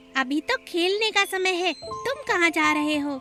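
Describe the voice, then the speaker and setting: A cartoonish character voice squeaks at an extremely high pitch. Clear music plays in the background. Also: moderate pace. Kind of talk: children's cartoon voice.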